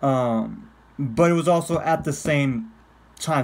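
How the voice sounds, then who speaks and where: The pitch of the man's voice varies in an ordinary way. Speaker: vlogger. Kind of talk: casual vlog chat. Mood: nostalgic, laughing, casual swearing. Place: home room. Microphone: phone near.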